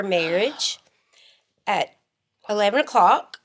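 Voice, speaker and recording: The woman has an Alabama accent. She speaks at a fairly slow pace. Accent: US Southern (Alabama). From northern Alabama (Muscle Shoals). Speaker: podcast co-host. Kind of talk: casual chat.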